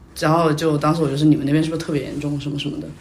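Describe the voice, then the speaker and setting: A woman speaks at a very fast pace in a very deep, low voice with monotone, flat intonation. Noticeable background noise and audible room echo fill the recording. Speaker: podcast guest. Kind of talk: casual chat. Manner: talkative.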